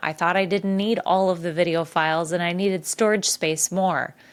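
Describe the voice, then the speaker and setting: Speaking at a fairly quick pace, a woman keeps a medium pitch with monotone, flat intonation. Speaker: podcast host. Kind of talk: podcast monologue. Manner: casual, conversational.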